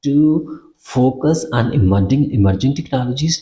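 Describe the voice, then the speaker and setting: In a non-native accent, a man speaks at a medium pitch with a dark, mellow tone, ordinary pitch variation and a somewhat breathy quality. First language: not English. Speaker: academic researcher teaching research methods. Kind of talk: tutorial. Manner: halting, many fillers and repeats.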